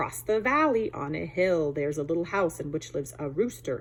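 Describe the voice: A woman's put-on character voice, gruff and very deep and low, delivered at a fairly quick pace over clear background noise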